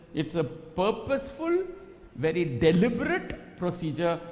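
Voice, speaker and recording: A man's high-pitched voice with a Telugu accent, at a moderate pace. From Karnataka, India. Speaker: ultrasound / fetal medicine teacher. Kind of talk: live teaching demonstration. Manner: animated.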